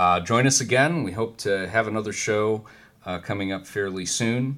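This man has an ordinary speaking voice with an American accent. His pitch is fairly low, with ordinary pitch variation. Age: 30s. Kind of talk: casual religious discussion.

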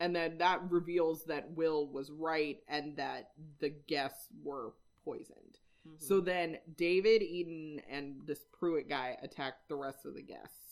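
In an American accent, a woman with a very deep, low pitch talks at a fairly slow pace, her intonation fairly even but her loudness swinging widely. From Washington, Whidbey Island. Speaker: podcast co-host. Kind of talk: casual chat.

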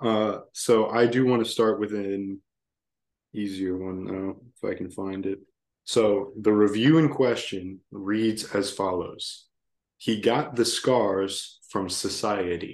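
Against a quiet background, a man with an American accent and a fairly low pitch speaks at a very slow pace with fairly even intonation. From Virginia. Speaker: podcast co-host. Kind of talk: casual chat.

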